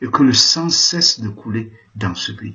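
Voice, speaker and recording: Lively intonation from a man at a medium pitch. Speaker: Jesuit priest. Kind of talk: political address. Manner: impassioned.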